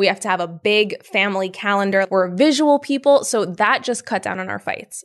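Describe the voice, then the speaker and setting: In a New York accent, a woman speaks at a fairly quick pace. Her pitch is medium, and the background is quiet. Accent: New York area American. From Yonkers, New York. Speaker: herbalist and entrepreneur. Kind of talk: casual interview chat. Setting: in person, green space in New York City.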